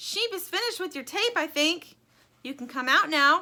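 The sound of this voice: A woman puts on a character voice with an extremely high pitch, a bright, sharp tone and lively intonation. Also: moderate pace.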